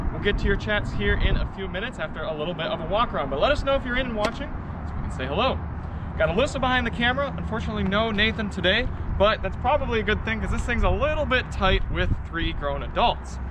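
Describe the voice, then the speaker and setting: A man at a very fast pace, dry sound with no echo, noticeable background noise. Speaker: car reviewer host. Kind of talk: live stream car walkaround commentary. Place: street.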